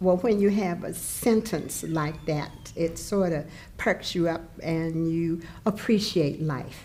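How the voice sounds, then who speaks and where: A woman's lively intonation at a very slow pace, with audible room echo. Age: 70s. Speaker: senior cheerleader. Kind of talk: documentary interview.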